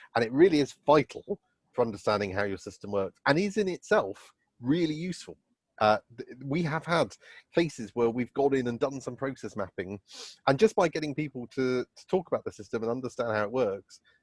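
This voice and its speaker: A man of medium pitch talks at a fairly quick pace, his pitch swinging very widely and his loudness rising and falling sharply. The sound is dry and close, with no echo. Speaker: lecturer. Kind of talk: lecture. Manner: halting, with fillers.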